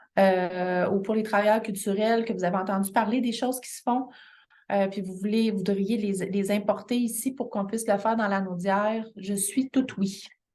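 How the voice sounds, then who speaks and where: Her intonation fairly even, a woman speaks with a Quebec accent. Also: medium pitch for a woman, moderate pace. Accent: Québécois French. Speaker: continuing education coordinator. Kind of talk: information session presentation. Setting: midday meeting with audience. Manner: halting, many fillers.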